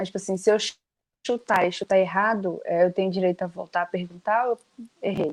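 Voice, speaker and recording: A woman speaks at a medium pitch with fairly even intonation. Long, frequent pauses break up her speech. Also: fairly quick pace. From Brazil, Bahia. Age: young. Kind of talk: casual interview chat.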